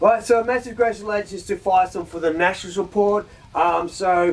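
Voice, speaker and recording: Noticeable background noise sits behind a man with an Australian accent who talks at a fairly quick pace with ordinary pitch variation. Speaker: metal music show host. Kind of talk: casual music news chat. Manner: excited, mumbling.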